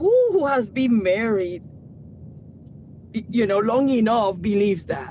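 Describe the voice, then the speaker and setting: Amid noticeable background noise, a woman speaks at a fairly slow pace with long, frequent pauses. Her pitch is fairly high and her intonation lively. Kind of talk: casual chat.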